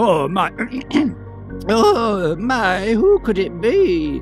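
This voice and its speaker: Over clear background music, a man uses a put-on character voice, high-pitched and very slow. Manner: feigned, wavering.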